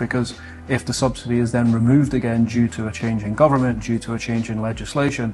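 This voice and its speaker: Speaking very fast in a Scottish accent, a man has a medium pitch and fairly even intonation. His voice is somewhat breathy. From Scotland. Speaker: solar industry sales team lead. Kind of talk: interview.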